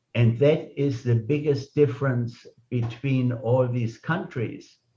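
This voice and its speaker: A man with a German accent talks at a very slow pace, his medium-pitched voice dark, mellow and somewhat breathy, with fairly even intonation. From Germany. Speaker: club meeting host. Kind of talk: speaker introduction.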